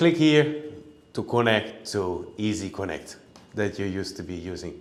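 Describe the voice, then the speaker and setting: Amid audible room echo, the speaker goes at a moderate pace with lively intonation and big swings in loudness. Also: man, fairly low pitch for a man. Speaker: product trainer. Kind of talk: webinar tutorial. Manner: halting with fillers.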